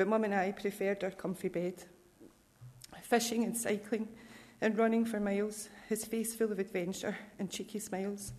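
A woman with a Scottish accent speaks at a moderate pace in a fairly high voice, her intonation monotone and flat. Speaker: bereaved family member. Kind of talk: scripture reading, then an emotional family eulogy. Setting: church. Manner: tender and personal.

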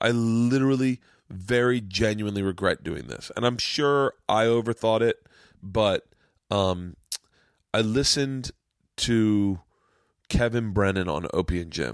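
A man with an American accent speaks at a medium pitch with ordinary pitch variation and an animated tone, at a fairly slow pace with long, frequent pauses. The recording is very clean with a silent background and a dry, close sound with no echo. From Florida. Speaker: comedian and podcast host. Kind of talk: casual chat. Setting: studio.

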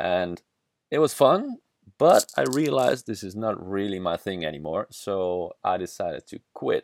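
A Dutch-accented man with a fairly low pitch, lively intonation and big swings in loudness, in a dry, close sound with no echo on a very clean recording with a silent background. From southern Netherlands. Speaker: podcaster, traveler, former kitesurfing instructor. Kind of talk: solo monologue podcast. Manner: halting, many fillers.

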